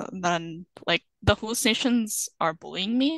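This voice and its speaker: A woman with a normal speaking voice talks at a moderate pace with lively intonation, in a dry, close sound with no echo and a quiet background. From Canada, arrived from Sudan at seven. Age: 20s. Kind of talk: interview.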